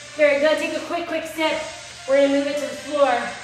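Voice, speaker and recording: A woman speaks in a high voice with audible room echo. Clear music plays in the background. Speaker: fitness instructor. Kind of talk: workout class cueing and counting. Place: home room. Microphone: camera far.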